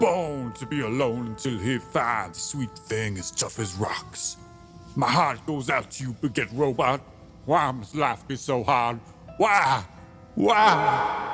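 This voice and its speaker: Clear music plays in the background as a man talks at a fairly slow pace. He uses a put-on character voice at a medium pitch. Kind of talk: comic noir parody narration. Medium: read story. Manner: theatrical, self-aggrandizing.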